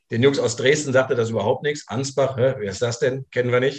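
Somewhat breathy speech at a fairly quick pace with fairly even intonation. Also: man. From Saarland (Saarbrücken). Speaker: former American football player. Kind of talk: casual chat.

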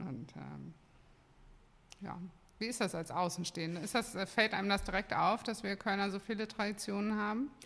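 A woman with a plain, everyday voice talks at a medium pitch and a moderate pace, with ordinary pitch variation. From Cologne, Germany. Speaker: brewery owner. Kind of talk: casual chat. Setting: studio.

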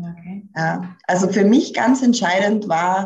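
A woman speaks at a medium pitch, somewhat breathy, with ordinary pitch variation. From rural village. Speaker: career coach. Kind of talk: podcast interview.

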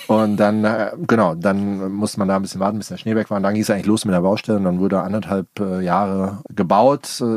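Here a man talks at a very fast pace. His fairly low voice holds a monotone, flat intonation. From Germany, Darmstadt (Rhine-Main). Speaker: guesthouse owner. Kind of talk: casual interview. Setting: in a van outdoors. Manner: hesitant, with fillers.

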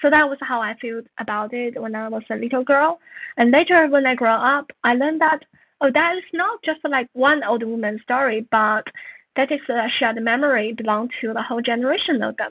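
A woman with a Chinese accent speaks at a high pitch and a fairly quick pace, with ordinary pitch variation. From northern China. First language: Mandarin Chinese. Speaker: author and journalist. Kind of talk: interview.

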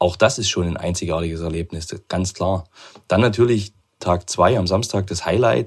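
This man's voice sits very deep and low, somewhat breathy, with fairly even intonation at a moderate pace. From Chemnitz, Saxony, eastern Germany. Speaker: regional sales manager, amateur cyclist. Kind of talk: casual interview. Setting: home office.

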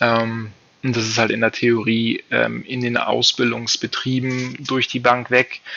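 Flat and monotone, a man speaks at medium pitch and a very slow pace with noticeable background noise. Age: 30s. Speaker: trainee baker. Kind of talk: interview. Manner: halting, many fillers.

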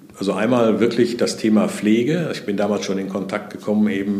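A man talks at a fairly quick pace with a fairly low pitch. Room echo is audible. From Sauerland, Germany, near the Ruhr area. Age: 60s. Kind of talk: interview conversation.

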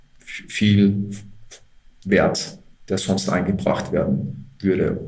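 Amid noticeable background noise and audible room echo, a man talks at a very slow pace and a fairly low pitch. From Austria, Upper Austria (Linz). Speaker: manager of a volunteer service organization. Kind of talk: interview.

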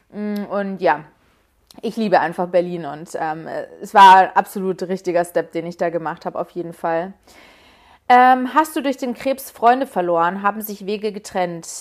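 On a very clean recording with a silent background, a woman at a medium pitch talks at a moderate pace with ordinary pitch variation and big swings in loudness. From Munich, Bavaria. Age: 20s. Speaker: podcast host and influencer. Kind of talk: solo Q&A casual talk. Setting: home bedroom.

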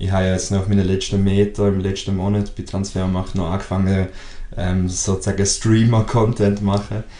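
Over noticeable background noise, a man talks in a fairly low pitch with monotone, flat intonation. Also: moderate pace. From Switzerland. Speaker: podcast co-host. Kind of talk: casual chat.

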